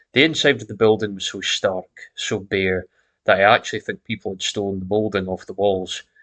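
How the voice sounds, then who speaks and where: Over a quiet background, a man with a Scottish accent speaks at a fairly low pitch with fairly even intonation. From Scotland. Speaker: horror story narrator. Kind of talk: horror story reading.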